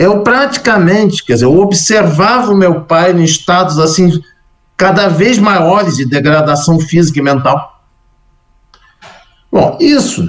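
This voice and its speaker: At a moderate pace, a man speaks in an ordinary speaking voice. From Brazil. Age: 60s. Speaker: Buddhist monk and scholar. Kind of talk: interview testimony.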